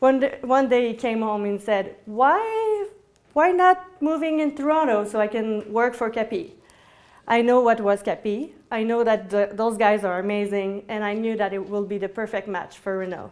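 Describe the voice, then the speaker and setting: A woman with a French-Canadian accent. Her pitch sits fairly high. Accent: French-Canadian accent, noticeable. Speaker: indie game producer. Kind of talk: talk to audience. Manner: halting.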